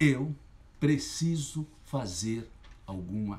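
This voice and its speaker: A man talks with vocal fry and lively intonation. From Sergipe, Brazil. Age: 50s. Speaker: journalist and local political candidate. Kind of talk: campaign launch livestream speech. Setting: livestream. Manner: impassioned.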